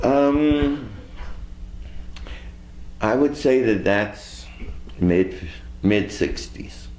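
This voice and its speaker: A man's very slow speech with vocal fry and very wide pitch swings. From San Francisco, California, USA. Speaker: civil rights activist. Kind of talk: oral history interview answer.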